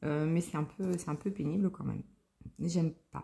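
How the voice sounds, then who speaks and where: A woman speaks with a fairly low pitch. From Lorraine, France (Nancy). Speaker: crafting vlogger. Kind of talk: casual chat. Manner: hesitant, many fillers.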